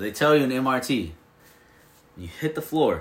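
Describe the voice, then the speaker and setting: Vocal fry runs through a man's medium-pitched voice. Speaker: podcast host. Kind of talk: casual chat.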